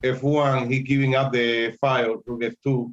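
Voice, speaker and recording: A man with a Spanish accent talks at a very slow pace and a medium pitch. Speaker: chess teacher. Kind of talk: lecture. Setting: live stream. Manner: halting.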